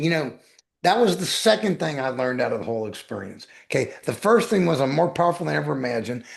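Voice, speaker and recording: A man with a fairly high voice at a very fast pace. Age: 60s. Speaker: weight loss coach and author. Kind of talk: podcast interview. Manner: emphatic, repetitive.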